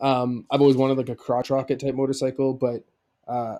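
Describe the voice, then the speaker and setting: With a Canadian accent, a man speaks at a moderate pace in a medium pitch and a dark, mellow tone. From Canada, Manitoba prairies. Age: 30s. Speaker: podcast guest, former border officer. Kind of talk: casual chat.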